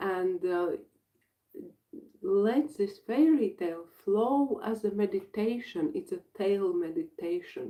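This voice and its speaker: The speaker has a Latvian accent and a dark, mellow tone, and the pitch swings very widely. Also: woman, fairly high pitch for a woman. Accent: Latvian accent, non-native English. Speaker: breathwork facilitator and healer. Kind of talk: live workshop introduction. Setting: livestream. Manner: halting.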